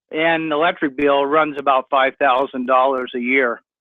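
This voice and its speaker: With a plain, everyday voice, a man speaks at a fairly slow pace and with fairly even intonation. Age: 60s. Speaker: caller. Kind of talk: radio call-in.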